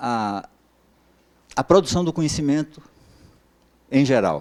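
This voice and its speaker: The voice belongs to a man with a medium pitch. His pitch swings very widely. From Brazil, Bahia. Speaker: professor. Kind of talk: lecture. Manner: halting, many filler sounds.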